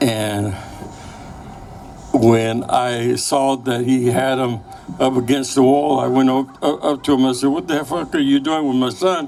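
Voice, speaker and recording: Noticeable background noise behind a man's fairly slow, fairly even delivery. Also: medium pitch for a man. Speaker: former Chicano activist. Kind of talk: interview answer, personal recollection.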